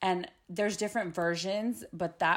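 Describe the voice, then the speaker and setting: Recorded very cleanly against a silent background, a woman with a normal speaking voice and fairly low pitch talks at a moderate pace with fairly even intonation. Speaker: guest. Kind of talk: casual chat about faith and mental health.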